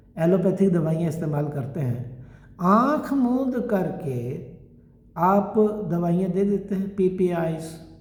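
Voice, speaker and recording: The voice carries ordinary pitch variation within audible room echo. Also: man. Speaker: Ayurvedic doctor. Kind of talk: lecture. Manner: conversational.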